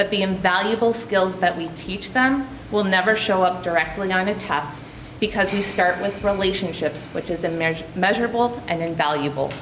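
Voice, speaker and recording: Noticeable noise sits behind the voice, and the room echo is audible. The pitch varies in an ordinary way. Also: woman, medium pitch for a woman, moderate pace. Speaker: special education program leader. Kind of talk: prepared presentation. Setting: school board meeting. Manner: formal.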